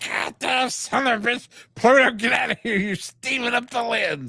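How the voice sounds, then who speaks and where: Putting on a character voice, a man speaks at a moderate pace at an extremely high pitch. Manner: goofy.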